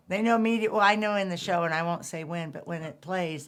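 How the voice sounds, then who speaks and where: Speech moves at a fairly quick pace. The pitch varies in an ordinary way. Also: woman. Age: 60s. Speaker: theater marketing director, podcast host. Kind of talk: casual interview chat. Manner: animated.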